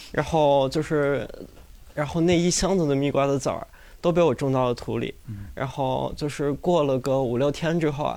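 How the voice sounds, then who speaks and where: In a very clean recording with a silent background, a man speaks at a moderate pace and fairly high pitch, his tone dark and mellow and his intonation fairly even. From Inner Mongolia, China. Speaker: audience member. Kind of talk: storytelling. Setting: stage with live audience.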